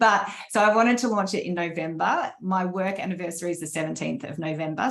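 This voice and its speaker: A woman talks at a fairly quick pace with an Australian accent. Her pitch is fairly low, and vocal fry runs through her voice. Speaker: leadership coach and author. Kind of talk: interview answers at virtual book launch. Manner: fast.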